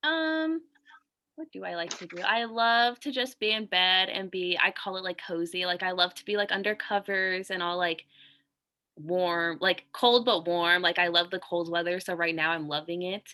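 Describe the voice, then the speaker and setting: At a moderate pace, a woman speaks in an unremarkable speaking voice of medium pitch with ordinary pitch variation. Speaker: social work student. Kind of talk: practice interview.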